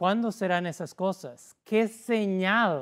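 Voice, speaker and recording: A man with a non-native accent speaks at a very slow pace with ordinary pitch variation, in a very clean recording with a silent background. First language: not Spanish (speaking Spanish). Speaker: pastor. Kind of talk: sermon. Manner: halting.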